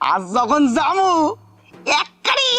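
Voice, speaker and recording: A man puts on a character voice with an extremely high pitch. His pitch swings very widely. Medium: short film. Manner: teasing, quarrelsome.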